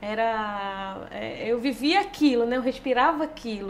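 A woman talks with lively intonation in a strong northeastern Brazilian accent. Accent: strong drawling northeastern Brazilian. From Petrolina, Pernambuco, Brazilian Northeast. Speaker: former futsal player, world champion. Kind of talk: casual interview.

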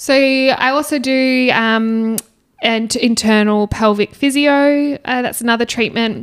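With an Australian accent, a woman speaks at a fairly slow pace, her high pitch held in fairly even intonation. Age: 20s. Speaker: nurse and podcast co-host. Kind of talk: casual interview.

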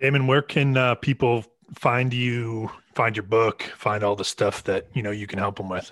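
A man with an ordinary speaking voice talks at a medium pitch and moderate pace, keeping his intonation fairly even. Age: 30s. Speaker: podcast co-host. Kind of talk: casual chat.

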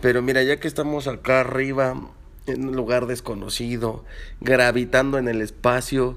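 This is a man's voice. He speaks with a Mexican accent. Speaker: podcast co-host. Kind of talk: casual chat.

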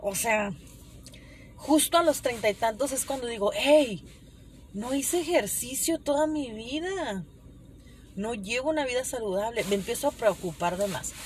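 A woman with a high pitch speaks at a fairly slow pace. Her intonation is lively, broken by long, frequent pauses. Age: 30s. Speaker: podcaster. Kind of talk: casual monologue. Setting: in a car.

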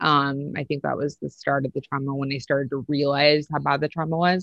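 This voice belongs to a woman. It sits very deep and low in pitch. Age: 30s. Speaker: guest sharing religious deconstruction story. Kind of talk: casual interview testimony. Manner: hesitant, many fillers.

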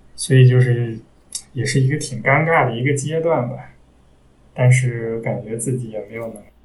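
Somewhat breathy man's voice at a medium pitch and moderate pace, with fairly even intonation, big swings in loudness, long, frequent pauses and audible room echo. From Taiyuan, Shanxi, northern China. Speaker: classical music enthusiast. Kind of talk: casual chat.

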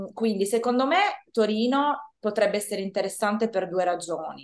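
A woman speaks at a moderate pace with ordinary pitch variation. It is a normal speaking voice. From Italy, Turin. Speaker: Italian language teacher. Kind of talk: interview.

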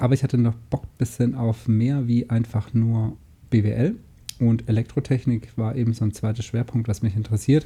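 A man speaks at medium pitch in a dark, mellow tone. His delivery is monotone and flat, and somewhat breathy. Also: moderate pace. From southern Germany, Lake Constance. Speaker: podcast co-host, online business entrepreneur. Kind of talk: casual chat.

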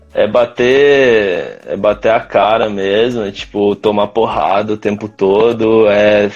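Music plays behind a man speaking at a fairly low pitch. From Brazil, São José dos Campos (São Paulo state). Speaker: startup founder. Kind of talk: casual interview chat. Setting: live stream.

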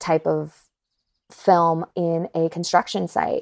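Recorded dry and close with no echo, a woman with an American accent talks at a fairly slow pace in an unremarkable speaking voice of fairly low pitch. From North Carolina, US South. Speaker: voice actor. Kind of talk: casual interview chat.

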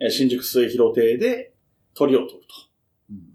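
A man talks at a moderate pace. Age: middle-aged. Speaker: podcast host. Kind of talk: casual chat.

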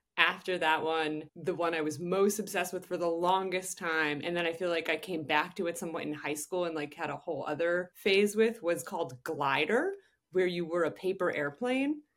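Using an ordinary speaking voice with fairly low pitch and ordinary pitch variation, a woman talks at a moderate pace with hardly any pauses. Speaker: journalist. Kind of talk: casual chat. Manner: many filler words.

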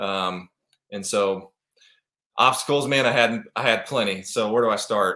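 Speaking with an American accent at a fairly slow pace, a man uses a medium pitch, ordinary pitch variation and a bright, sharp tone, with long, frequent pauses. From US Midwest, Kansas City, Missouri. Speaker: former professional football player. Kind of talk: podcast interview.

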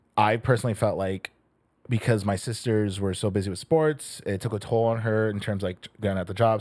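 In an ordinary speaking voice, a man talks at a fairly quick pace and fairly low pitch. His intonation stays fairly even, and the recording is very clean with a silent background. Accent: American. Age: 20s. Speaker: podcast producer. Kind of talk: casual chat.

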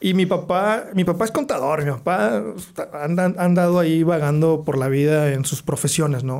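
He has an unremarkable speaking voice, fairly high in pitch for a man. He talks at a moderate pace with ordinary pitch variation. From Monterrey, northern Mexico (teen years in the US). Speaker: architect. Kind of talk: casual interview.

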